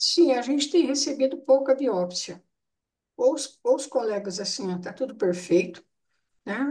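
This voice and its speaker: A woman's high voice with a dark, mellow tone and very wide pitch swings, at a fairly slow pace, with big swings in loudness and long, frequent pauses. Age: 70s. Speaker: nephrology bone pathology specialist. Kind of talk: case discussion webinar. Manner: informal, conversational.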